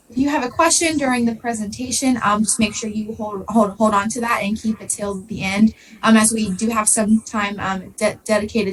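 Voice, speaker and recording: Over noticeable background noise, a woman with an American accent talks with hardly any pauses. Her fairly high pitch varies in an ordinary way while her loudness swings widely. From southern Ohio. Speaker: graduate student presenter. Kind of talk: presentation.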